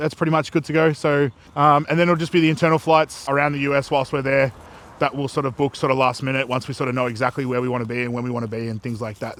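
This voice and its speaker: Speaking with an Australian accent, a man goes at a very fast pace with a fairly high pitch. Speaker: bodybuilder vlogger. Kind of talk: casual vlog chat. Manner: monotone.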